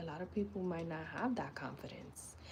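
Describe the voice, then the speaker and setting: With vocal fry and a dark, mellow tone, a woman speaks at a fairly low pitch and a fairly slow pace, with ordinary pitch variation. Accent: New York. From New York City (Bronx). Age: 30s. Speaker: lifestyle and personal growth live streamer. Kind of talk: casual live-stream talk. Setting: YouTube live stream. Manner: conversational, frequent fillers.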